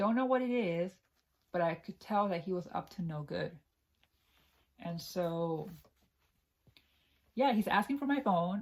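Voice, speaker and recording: A woman's somewhat breathy voice with lively intonation, a fairly slow pace and long, frequent pauses. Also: medium pitch for a woman. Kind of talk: ASMR scary story time, personal anecdote told to camera. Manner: conversational, storytelling.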